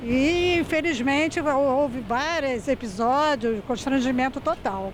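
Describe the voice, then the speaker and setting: A woman speaks with a high pitch. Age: 60s. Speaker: street interviewee. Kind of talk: street interview.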